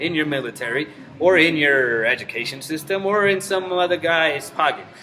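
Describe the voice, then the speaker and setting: A man's high-pitched voice at a moderate pace, with ordinary pitch variation, audible room echo and noticeable background noise. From Mexico. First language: Spanish. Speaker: vlogger. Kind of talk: casual rant to camera. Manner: casual, profane.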